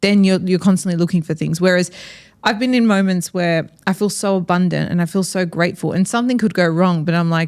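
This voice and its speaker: In a very clean recording with a silent background, a woman with an Australian accent and a medium pitch speaks at a very fast pace, her loudness very even and her intonation fairly even. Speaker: podcast host. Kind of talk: casual interview conversation.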